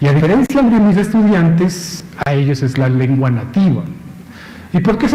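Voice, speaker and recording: Lively intonation comes through noticeable background noise and audible room echo. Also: man. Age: 40s. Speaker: university lecturer. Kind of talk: conference talk. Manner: conversational, frequent tag questions.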